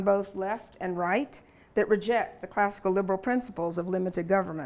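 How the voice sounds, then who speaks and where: In a Southern US accent, a woman speaks at a fairly quick pace with ordinary pitch variation, in a very clean recording with a silent background. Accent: Southern US (Alabama), noticeable. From US South, Alabama. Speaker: lecturer. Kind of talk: lecture. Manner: relaxed, frequent fillers.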